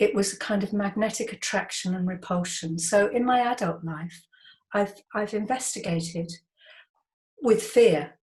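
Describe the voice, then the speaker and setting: Somewhat breathy woman's voice at medium pitch, with ordinary pitch variation, a moderate pace and long, frequent pauses. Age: 70s. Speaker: artist and educator. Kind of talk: interview.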